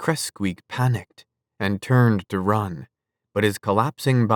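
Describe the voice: Plain reading aloud over a quiet background.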